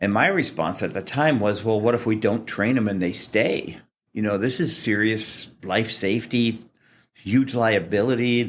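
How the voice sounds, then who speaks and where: A man with an American accent speaks at a moderate pace in a normal speaking voice. His pitch is medium, with ordinary pitch variation. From US Midwest, Kansas City. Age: 60s. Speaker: fire sprinkler industry association president. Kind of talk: interview. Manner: casual with fillers.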